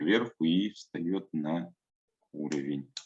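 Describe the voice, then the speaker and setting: The voice belongs to a man. Lively intonation marks his delivery. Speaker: museum worker and trained announcer giving a workshop. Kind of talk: online workshop lecture. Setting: online workshop.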